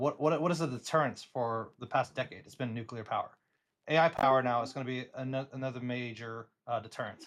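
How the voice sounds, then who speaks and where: Talking at a very fast pace, a man has an American accent and a medium pitch. His intonation is fairly even, while his loudness swings widely. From United States. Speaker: tech worker in a livestream group chat. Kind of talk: casual chat.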